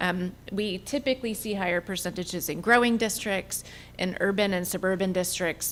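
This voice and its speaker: A woman with an ordinary speaking voice talks at medium pitch and a moderate pace, with ordinary pitch variation. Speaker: compensation consultant. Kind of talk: presentation to school board. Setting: public board meeting.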